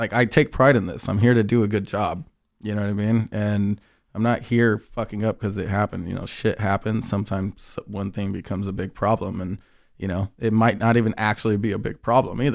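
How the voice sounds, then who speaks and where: In a very clean recording with a silent background, a man with a fairly low pitch talks at a fairly quick pace in a monotone, flat way. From Inland Empire, Southern California. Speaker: artist liaison and DJ. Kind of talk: casual chat. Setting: studio.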